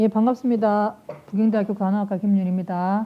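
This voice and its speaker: A woman's dark, mellow voice at a fairly quick pace. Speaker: nursing professor. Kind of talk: lecture. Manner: fast.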